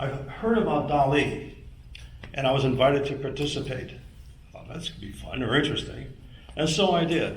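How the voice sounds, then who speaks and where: With audible room echo and noticeable background noise, a man with a fairly high pitch talks at a moderate pace, showing ordinary pitch variation and big swings in loudness. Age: 70s. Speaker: landscape painter. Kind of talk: audience comment.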